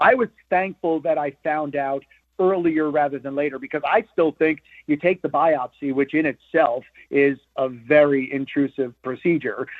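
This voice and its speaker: Speaking at a fairly slow pace, a man with an unremarkable speaking voice has a fairly high pitch and fairly even intonation. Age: 60s. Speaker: sports radio co-host. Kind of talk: casual chat.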